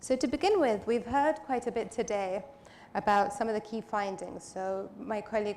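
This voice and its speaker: A woman talks at a moderate pace in a normal speaking voice with a medium pitch. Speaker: panel moderator. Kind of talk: conference panel moderation.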